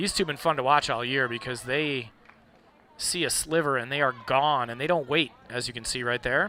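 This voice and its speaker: Here a man speaks in a medium pitch at a moderate pace. He has an American accent. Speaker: sports commentator. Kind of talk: live commentary. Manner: loud.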